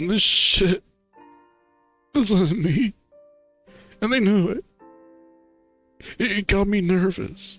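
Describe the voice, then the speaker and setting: A man's put-on character voice, high in pitch with ordinary variation, at a very slow pace with long, frequent pauses, dry and close with no echo and faint music in the background. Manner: upset, tearful.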